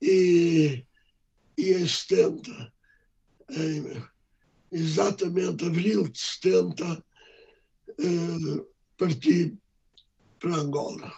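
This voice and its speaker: Very slow and broken by long, frequent pauses, a man's speech unfolds. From Portugal, Lisbon. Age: 80s+. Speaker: doctor and memoir author. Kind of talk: interview. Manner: halting.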